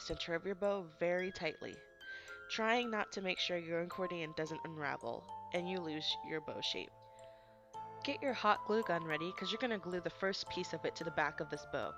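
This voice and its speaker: Music plays in the background as a woman with a fairly low pitch talks at a moderate pace with lively intonation. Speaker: DIY crafts tutorial host. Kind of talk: craft tutorial instructions. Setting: home recording, low volume.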